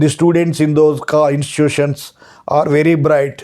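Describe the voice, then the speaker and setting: A man with a Telugu accent speaks at a fairly slow pace, his fairly high voice carrying a dark, mellow tone. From Andhra Pradesh, India. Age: 60s. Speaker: retired law lecturer. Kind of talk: lecture. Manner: hesitant, with frequent uh fillers and repetitions.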